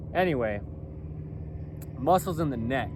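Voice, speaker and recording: Audible room echo surrounds a man speaking at a moderate pace. His pitch swings very widely. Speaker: clothing company founder, vlogger. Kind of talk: casual monologue vlog. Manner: rambling, repetitive with fillers.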